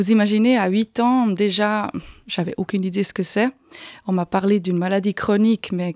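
A woman speaks at a medium pitch and a moderate pace, with a slight Swiss German accent and fairly even intonation. Her recording is very clean, with a silent background and a dry, close sound with no echo. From Aargau, Switzerland. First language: Swiss German (speaking French). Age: 40s. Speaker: patient with arthritis. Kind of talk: interview. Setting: studio. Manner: halting.

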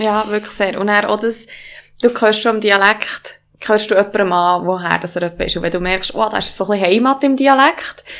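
An unremarkable speaking voice from a woman, medium in pitch, fairly quick in pace, with ordinary pitch variation. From Swiss mountain valley (Valais). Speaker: yoga teacher and business partner. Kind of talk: casual conversation.

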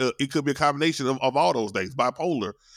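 Very fast speech with ordinary pitch variation, dry and close with no echo, in a very clean recording with a silent background. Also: man. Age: 40s. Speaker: podcast host and producer. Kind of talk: casual chat. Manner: halting, many repeated words.

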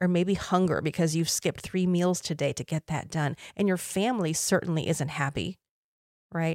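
A woman's dark, mellow voice with an American accent, dry and close with no echo. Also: very clean recording, silent background. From Taiwan, then US. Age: 50s. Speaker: podcast host and confidence coach. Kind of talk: solo podcast monologue.

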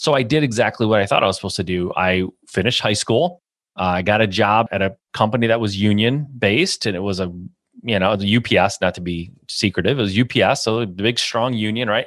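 A man with a Midwestern American accent talks at a very fast pace, fairly low in pitch with ordinary pitch variation. The recording is very clean, the background silent. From US Midwest, Michigan. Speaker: real estate investor and business coach. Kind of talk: interview. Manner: animated.

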